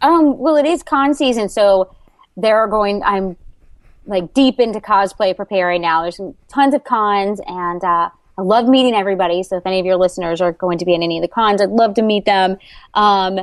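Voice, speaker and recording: Speaking at a fairly quick pace in an American accent, a woman has a bubbly tone, a medium pitch with ordinary variation, and a dry, close sound with no echo. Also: quiet background. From Florida, US. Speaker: YouTuber and cosplayer. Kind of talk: casual interview.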